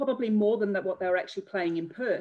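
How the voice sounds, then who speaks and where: A woman with an Australian accent, medium pitch and ordinary pitch variation. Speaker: bereaved mother and charity founder. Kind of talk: interview testimony.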